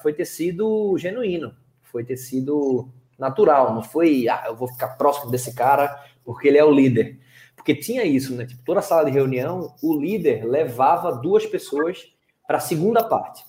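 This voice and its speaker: A man with a fairly high, somewhat breathy voice speaks in a Pernambuco accent at a moderate pace. His tone is dark and mellow, and his intonation is lively. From Pernambuco, Brazil. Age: young. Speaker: speaker, writer and former reality show contestant. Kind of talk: interview. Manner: casual, relaxed.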